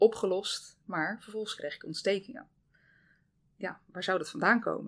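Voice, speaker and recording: A woman's medium-pitched voice with vocal fry, at a moderate pace, with ordinary pitch variation and big swings in loudness. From Zeeland, Netherlands. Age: 30s. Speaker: dietitian. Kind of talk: casual interview.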